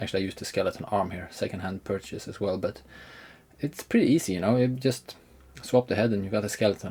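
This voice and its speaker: A man talks very fast in a fairly low, somewhat breathy voice. His tone is dark and mellow. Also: ordinary pitch variation. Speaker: miniature hobbyist YouTuber. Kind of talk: hobby tutorial. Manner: hesitant, many fillers.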